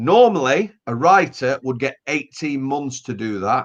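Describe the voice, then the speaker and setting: Against a quiet background, a man talks with a Yorkshire accent. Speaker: author. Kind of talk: casual chat.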